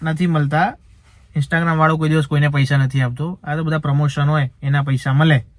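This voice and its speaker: Here is a man with a fairly high pitch. He has a plain, everyday voice. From Rajasthan, Barmer. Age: 20s. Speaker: social media creator. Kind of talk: casual Q&A.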